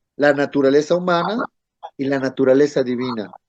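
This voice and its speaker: Here a man speaks with a dark, mellow tone. The background is quiet. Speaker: Bible course teacher. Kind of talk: online class lecture.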